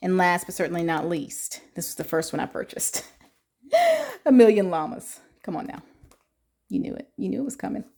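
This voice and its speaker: A woman with a dark, mellow tone talks at a fairly quick pace, with very wide pitch swings and long, frequent pauses. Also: medium pitch for a woman. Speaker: YouTuber reviewing coloring books. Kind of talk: casual product flip-through. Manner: animated.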